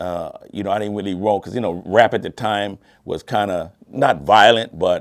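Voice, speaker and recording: The recording is very clean, with a silent background. A man with a fairly low pitch speaks at a moderate pace. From Louisiana, Port Allen near Baton Rouge. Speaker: music producer and studio engineer. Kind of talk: interview storytelling. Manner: casual, conversational with fillers.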